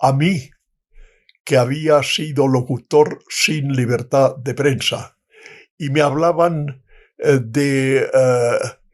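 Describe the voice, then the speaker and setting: The man's fairly high voice keeps to fairly even intonation. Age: 90s. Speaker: retired diplomat. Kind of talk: interview answer.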